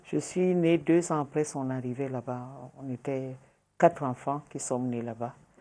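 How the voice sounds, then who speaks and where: A woman's very deep, low voice with a dark, mellow tone over a quiet background. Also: ordinary pitch variation, fairly slow pace. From Cameroon, south (Ambam). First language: Wodi (speaking French). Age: 60s. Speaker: journalist and politician. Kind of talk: interview.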